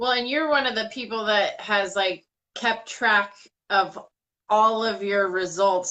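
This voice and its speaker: Her tone is bright and sharp, with ordinary pitch variation. The woman keeps a moderate pace. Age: 30s. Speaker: wellness product promoter. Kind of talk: casual chat.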